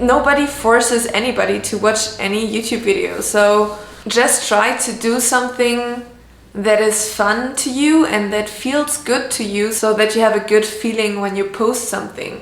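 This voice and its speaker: A woman's fairly high voice with a non-native accent, fairly even intonation and a moderate pace, plus audible room echo and noticeable background noise. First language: not English. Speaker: illustrator and art vlogger. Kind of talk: casual tutorial vlog.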